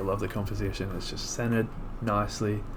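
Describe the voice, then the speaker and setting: A man speaks quietly at a fairly quick pace with fairly even intonation. Noticeable background noise and audible room echo are present. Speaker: photographer. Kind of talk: tutorial. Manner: casual.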